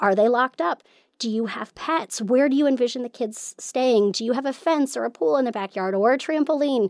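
A woman speaks at a high pitch and a fairly quick pace with lively intonation. The recording is very clean, with a silent background and a dry, close sound with no echo. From moved around the US as a Navy child. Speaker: church planting trainer. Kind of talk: casual interview. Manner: energetic.

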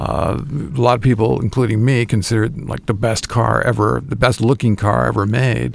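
The voice carries vocal fry and ordinary pitch variation. It moves at a moderate pace. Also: man. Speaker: radio host. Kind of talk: casual chat. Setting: studio. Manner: teasing, banter.

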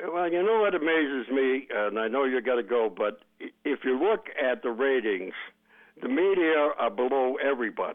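A man speaks in a normal speaking voice, fairly high in pitch, at a moderate pace. His intonation is lively while his loudness stays very even. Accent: American. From Boston. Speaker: caller. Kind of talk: call-in talk radio.

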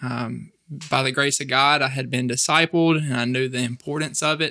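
Intonation stays fairly even as a man talks at a fairly quick pace in a bright, sharp tone with a Mississippi accent. The recording is very clean, with a silent background. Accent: Southern US (Mississippi). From US South, northeast Mississippi. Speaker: campus ministry staff member. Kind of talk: interview.

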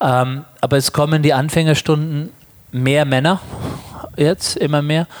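This man's voice is fairly high in pitch, with a monotone, flat intonation and very even loudness. He talks at a fairly slow pace with long, frequent pauses. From Germany. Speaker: yoga teacher and psychologist. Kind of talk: interview. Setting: on location at a conference.

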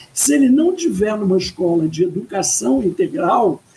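Her pitch fairly high, a woman speaks at a fairly slow pace with very wide pitch swings. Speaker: education professor. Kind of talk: interview. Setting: video call. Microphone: audio a bit quiet, headset.

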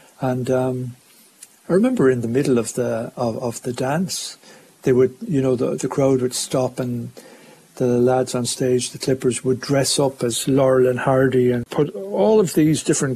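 A man with an Irish accent over noticeable background noise. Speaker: showband musician. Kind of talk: interview recollection.

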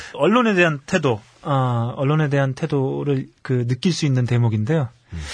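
Somewhat breathy at medium pitch, a man keeps very even loudness and ordinary pitch variation at a moderate pace. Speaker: magazine interviewer. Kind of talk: casual chat.

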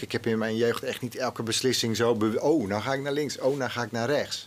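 A man at medium pitch, fairly quick pace and ordinary pitch variation. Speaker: TV executive. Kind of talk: interview. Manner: halting.

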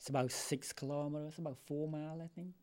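The speaker has a Cambodian accent. The pace is moderate. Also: man. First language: Khmer. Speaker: retired educator. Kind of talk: interview. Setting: studio.

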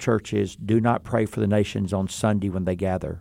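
Over a silent background on a very clean recording, a man talks at a fairly quick pace with a fairly low pitch and a dark, mellow tone. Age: 60s. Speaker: seminary president. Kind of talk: interview.

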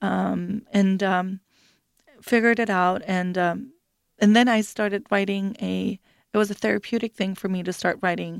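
A woman at medium pitch with monotone, flat intonation and a moderate pace, in a very clean recording with a silent background and a dry, close sound with no echo. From Sweden, Stockholm. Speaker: author and life coach. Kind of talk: radio interview. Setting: radio studio. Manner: hesitant, many fillers.

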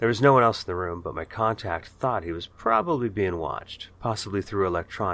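The clip is spoken in an unforced reading voice.

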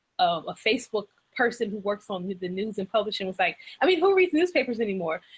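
A somewhat breathy woman at medium pitch, fairly quick in pace, with ordinary pitch variation. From Louisiana. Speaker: podcast host. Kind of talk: interview.

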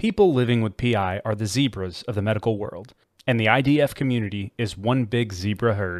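In an ordinary speaking voice, a man talks at a moderate pace and medium pitch on a very clean recording with a silent background. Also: ordinary pitch variation. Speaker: podcast announcer. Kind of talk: scripted intro and outro.

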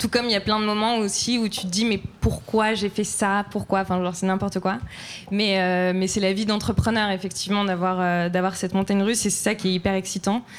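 It is a normal speaking voice, fairly quick in pace with fairly even intonation. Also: woman, medium pitch for a woman. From France. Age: 20s. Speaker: entrepreneur, fashion brand founder. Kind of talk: live panel discussion. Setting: live event with audience.

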